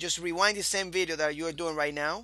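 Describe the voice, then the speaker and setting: Against a quiet background, a man speaks with a fairly high pitch and a bright, sharp tone. He keeps a moderate pace with ordinary pitch variation. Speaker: programming course instructor. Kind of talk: coding tutorial.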